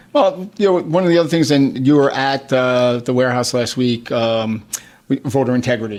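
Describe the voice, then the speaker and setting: At a moderate pace, a man with a New York accent talks at medium pitch with ordinary pitch variation. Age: 60s. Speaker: state politician. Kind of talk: radio talk show interview. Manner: animated.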